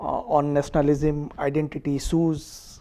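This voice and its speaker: A man with an Odisha accent speaks at a fairly high pitch and a moderate pace. Noticeable background noise runs underneath. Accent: Indian (Odia) English. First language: Odia. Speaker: diplomat. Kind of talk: interview. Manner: hesitant, many fillers.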